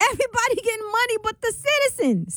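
A woman's extremely high, fairly bright voice makes big pitch swings at a fairly quick pace.

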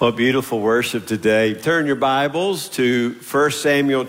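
The clip is plain reading aloud. Its pitch moves up and down in an ordinary way.

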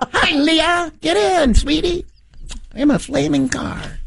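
Putting on a character voice, a woman speaks high and at a fairly slow pace. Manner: playful, silly.

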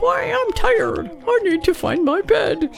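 Over clear background music, a woman uses a put-on character voice at an extremely high pitch. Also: fairly slow pace. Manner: tired, playful.

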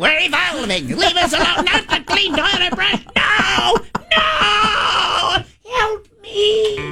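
Using a put-on character voice, a man speaks at a very slow pace and an extremely high pitch. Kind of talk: comic, exaggerated. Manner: panicked, pleading.

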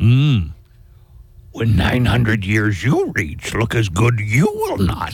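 A man's put-on character voice at medium pitch, very slow, with long, frequent pauses. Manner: slow, cryptic, inverted syntax.

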